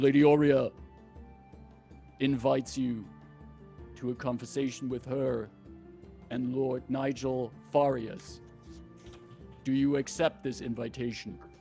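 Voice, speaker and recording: A man's put-on, robotic character voice at medium pitch, fairly slow and full of long, frequent pauses, with clear music in the background. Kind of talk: formal, inviting.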